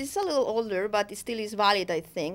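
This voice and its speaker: Her pitch fairly high with ordinary variation, a woman speaks with a strong Spanish accent. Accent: thick Spanish. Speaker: professor. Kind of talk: academic lecture. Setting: studio. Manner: hesitant, unscripted.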